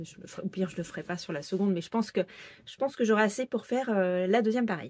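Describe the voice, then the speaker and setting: Recorded with a dry, close sound and no echo, a woman speaks at medium pitch with ordinary pitch variation. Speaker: sewing pattern designer and knitting vlogger. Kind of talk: casual vlog podcast. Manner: hesitant with many fillers.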